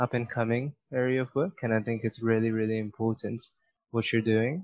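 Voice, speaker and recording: Here a man uses an ordinary speaking voice at medium pitch, with ordinary pitch variation. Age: young. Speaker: podcast host and student. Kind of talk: interview.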